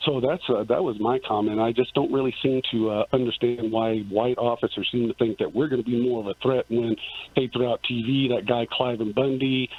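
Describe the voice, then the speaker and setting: A man talks at a fairly quick pace with hardly any pauses. His medium-pitched voice keeps a fairly even intonation. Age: 50s. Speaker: caller. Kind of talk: phone-in comment. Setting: phone call. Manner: halting, many fillers.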